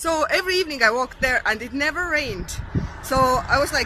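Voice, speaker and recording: A woman speaks in a raised, projected voice at a fairly quick pace with lively intonation. Noticeable background noise sits behind her. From Estonia. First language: Estonian. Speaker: vlogger. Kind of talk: casual storytelling to camera. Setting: outdoors.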